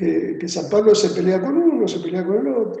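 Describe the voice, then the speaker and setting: Recorded with audible room echo, a man with an Argentine accent talks at a fairly slow pace in a high pitch with lively intonation. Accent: Argentine Spanish (Rioplatense). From Argentina. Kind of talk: interview on theology. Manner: hesitant, repeats words.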